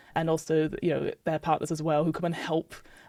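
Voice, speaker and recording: This woman speaks in a British accent with a fairly low pitch and a dark, mellow tone. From UK. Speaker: podcast guest, casual card game player. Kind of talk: casual chat.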